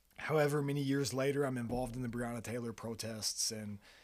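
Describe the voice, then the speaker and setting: With a strong Kentucky accent, a man talks in fairly even intonation. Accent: thick Kentucky country. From Kentucky, Fairdale. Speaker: photographer and videographer, small business owner. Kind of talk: casual podcast interview, storytelling.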